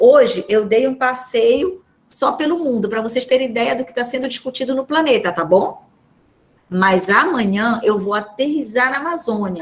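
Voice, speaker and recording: A woman with a high pitch, an animated tone and a moderate pace. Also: lively intonation. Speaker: law professor. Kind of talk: casual chat; lecture.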